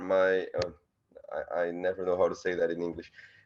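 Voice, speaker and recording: A man with a Portuguese accent against a quiet background. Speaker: student. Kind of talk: self-introduction in video call. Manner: halting.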